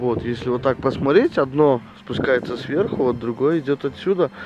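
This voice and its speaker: A man's voice with ordinary pitch variation, dry and without echo, against noticeable background noise. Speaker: outdoor vlogger. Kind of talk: casual vlog chat. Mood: relaxed, admiring, joking. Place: open country. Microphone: phone near.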